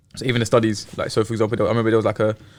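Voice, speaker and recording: This is a man with a London accent. His pitch is fairly low. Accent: London English (Multicultural London). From South East London. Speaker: podcast guest, teacher. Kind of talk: casual chat. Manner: casual, hesitant with fillers.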